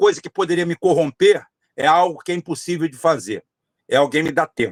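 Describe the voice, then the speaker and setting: The recording of this man has a dry, close sound with no echo at all. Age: 60s. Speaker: political candidate. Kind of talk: podcast interview. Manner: repetitive, emphatic with frequent fillers.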